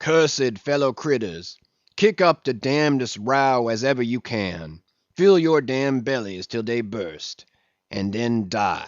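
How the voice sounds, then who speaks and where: At a fairly slow pace, a man puts on a shrill character voice at medium pitch. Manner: crying out, mock sermon.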